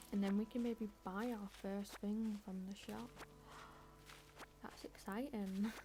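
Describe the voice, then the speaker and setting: A woman of medium pitch speaks at a very slow pace with long, frequent pauses. Her intonation is fairly even, and there is noticeable background noise. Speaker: video game streamer. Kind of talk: casual chat while gaming on live stream.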